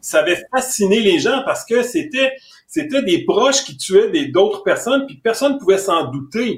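A man speaks at an extremely high pitch, his pitch swinging very widely. His loudness also rises and falls in big swings. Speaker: forensic psychiatrist. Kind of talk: interview. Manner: halting, repeats words.

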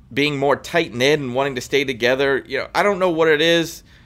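A man with a plain, everyday voice and an American accent speaks at a fairly quick pace. His fairly high pitch shows ordinary pitch variation. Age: 20s. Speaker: sports podcast co-host. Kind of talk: casual chat. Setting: outdoors on vacation, remote recording.

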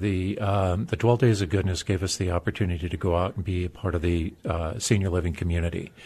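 A man with a very deep, low pitch talks at a very fast pace in a somewhat breathy voice. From US, military family (moved around). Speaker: former pro football player. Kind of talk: interview.

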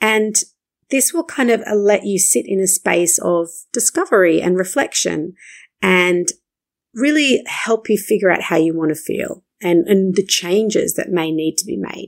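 A woman with an Australian accent, at a fairly slow pace with lively intonation. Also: medium pitch for a woman. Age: 30s. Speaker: marketing coach and podcast host. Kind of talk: solo podcast monologue.

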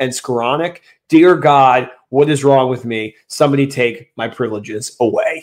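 Putting on a raspy character voice, a man speaks at a medium pitch. His intonation stays fairly even at a moderate pace. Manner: exasperated, self-mocking.

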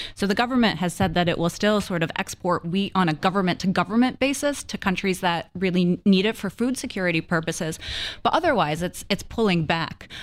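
An ordinary speaking voice from a woman with an American accent, medium in pitch, fairly quick, with ordinary pitch variation, in a very clean recording with a silent background. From US, Florida. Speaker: foreign policy analyst. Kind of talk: radio panel discussion.

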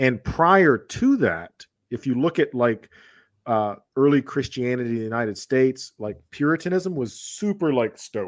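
With an American accent, a man with an unremarkable speaking voice talks at a moderate pace and medium pitch, his intonation lively. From US South, Georgia. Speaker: philosophy and history educator. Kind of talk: casual chat. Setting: video call.

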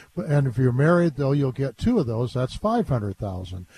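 A man's somewhat breathy voice, dark and mellow in tone, with lively intonation. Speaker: guest host, elder law advisor. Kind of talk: call-in radio show. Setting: studio. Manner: casual, jokey.

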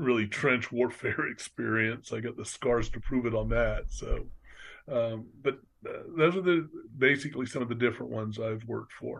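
An American accent comes through with vocal fry and ordinary pitch variation. The pace is moderate. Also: man. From Orlando, Florida. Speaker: retired nonprofit executive and business mentor. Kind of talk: interview.

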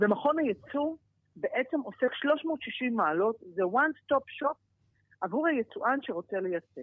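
Her pitch high, a woman speaks at a fairly slow pace with very wide pitch swings. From Israel. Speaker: former politician, head of export organization. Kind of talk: interview.

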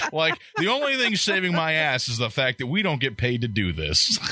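Over noticeable background noise, a man with a fairly high voice swings his pitch very widely while keeping his loudness very even. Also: moderate pace. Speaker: podcast co-host.

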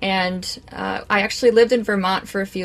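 A woman with an Upper Midwest accent. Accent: Upper Midwest (Minnesota). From central Minnesota. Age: young. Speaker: cheesemaker. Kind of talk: interview.

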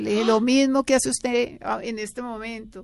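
A woman talks at a fairly quick pace in a fairly high pitch. It is an ordinary speaking voice. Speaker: former TV actress and beauty author. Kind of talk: casual interview chat.

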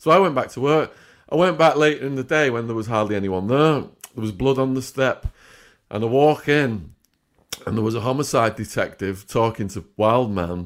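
A man's medium-pitched voice with an English accent, lively intonation and a moderate pace. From England. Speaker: former drug trafficker turned author and YouTuber. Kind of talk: interview storytelling. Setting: video call.

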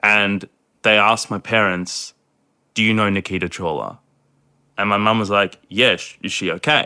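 Bright and sharp in tone, a man with an Australian accent is heard in a dry, close sound with no echo. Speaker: anti-domestic violence advocate. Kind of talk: casual chat. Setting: remote call.

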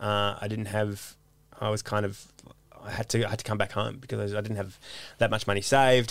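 On a very clean recording with a silent background, a man with an Australian accent speaks at a fairly low pitch with monotone, flat intonation. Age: 30s. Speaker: comedian. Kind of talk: casual chat.

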